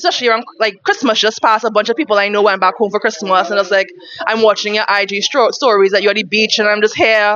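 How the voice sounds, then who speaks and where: Very fast speech holds very even loudness and ordinary pitch variation over noticeable background noise. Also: woman, fairly high pitch for a woman. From Trinidad, Chinese-Trinidadian. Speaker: stand-up comedian. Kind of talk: casual interview.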